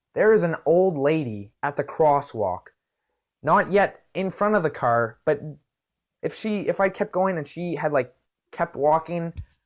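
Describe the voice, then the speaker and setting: Speaking with a Canadian accent at a fairly slow pace, a man with a fairly high pitch uses lively intonation and long, frequent pauses against a quiet background. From Canada. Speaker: vlogger. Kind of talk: casual storytelling vlog. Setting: video recorded to camera. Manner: animated.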